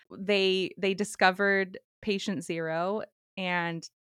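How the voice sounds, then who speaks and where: A woman with an unremarkable speaking voice talks at a medium pitch with fairly even intonation, in a dry, close sound with no echo. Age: 30s. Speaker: podcast co-host. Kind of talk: casual chat.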